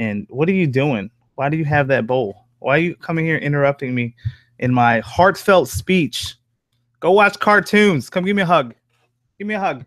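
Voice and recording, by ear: With lively intonation and a fairly bright tone, a man talks at a moderate pace and a fairly high pitch.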